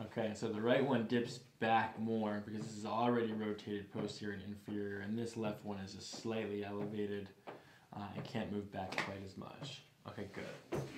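Loud background noise around a man at a moderate pace. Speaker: chiropractor. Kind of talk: clinical instruction and commentary. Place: office. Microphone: camera far.

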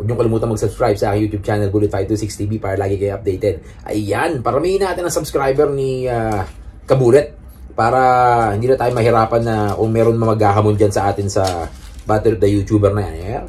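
Speaking at a very fast pace, a man uses a fairly low pitch. His pitch varies in an ordinary way. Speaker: YouTuber. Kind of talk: casual vlog chat. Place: home room. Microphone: phone near.

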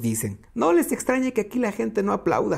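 A man with a high voice talks at a moderate speed. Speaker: podcast host reading a book aloud. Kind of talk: reading aloud.

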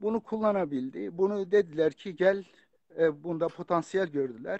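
A man talks at a fairly slow pace with ordinary pitch variation. The sound is dry and close with no echo, over a quiet background. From Turkey, Kurdish family from Bitlis. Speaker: author and religious scholar. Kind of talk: casual chat. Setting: video call. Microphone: phone.

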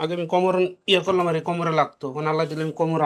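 This man's voice sits at a fairly high pitch. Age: 40s. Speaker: patient. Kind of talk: patient testimony. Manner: halting.

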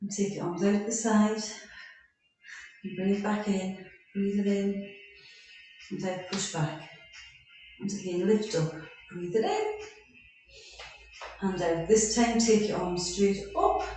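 A woman at a very slow pace, with long, frequent pauses, fairly even intonation, strong room echo and music in the background. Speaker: fitness instructor. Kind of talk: exercise class instruction. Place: home room. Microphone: camera far.

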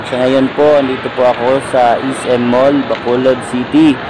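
The intonation is monotone and flat. Noticeable background noise is present. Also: man, dry sound with no echo. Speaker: vlogger. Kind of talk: casual vlog chat. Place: shop.

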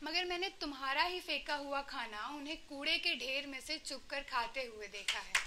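A woman speaks in a raised, projected voice with a bright, sharp tone. Her pitch varies in an ordinary way over light background noise. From Varanasi, India. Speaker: poet. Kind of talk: spoken word poetry performance. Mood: earnest, reflective social critique. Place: stage. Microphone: handheld.

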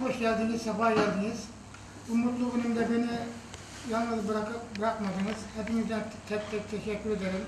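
A high-pitched male voice at a moderate pace, flat and monotone, with noticeable background noise and audible room echo. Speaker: husband celebrating anniversary. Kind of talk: speech to family at anniversary dinner. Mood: warm, reflective, grateful. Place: hall. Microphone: camera far.

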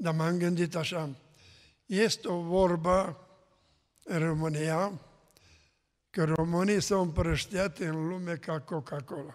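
Over a quiet background, a man with a high pitch speaks at a very slow pace with fairly even intonation and long, frequent pauses. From Romania, Mureș county; Romania. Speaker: pastor. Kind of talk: testimony. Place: church. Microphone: podium.

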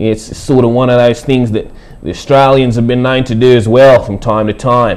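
The man's intonation is monotone and flat, and his pace is moderate. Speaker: hip hop artist. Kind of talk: TV news read. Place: studio.

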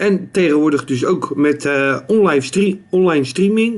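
Delivery moves at a fairly slow pace with ordinary pitch variation. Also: man. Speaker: streamer, vlogger. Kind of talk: casual talk to camera. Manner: hesitant, many fillers. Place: home room. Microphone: phone near.

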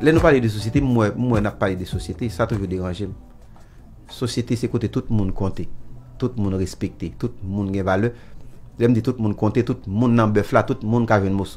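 Over faint background music, a man with a fairly low pitch and ordinary pitch variation talks at a fairly quick pace, broken by long, frequent pauses. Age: 70s. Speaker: musician. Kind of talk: interview answer. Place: studio. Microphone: studio mic.

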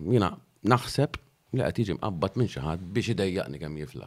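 Against a quiet background, a man with a fairly low voice speaks with lively intonation. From Malta. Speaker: local mayor. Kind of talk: interview. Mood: calm, slightly aggrieved. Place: studio. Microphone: studio mic.

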